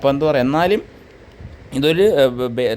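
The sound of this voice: The man's pitch is fairly high and his intonation lively. He keeps a moderate pace, with a slightly mellow tone.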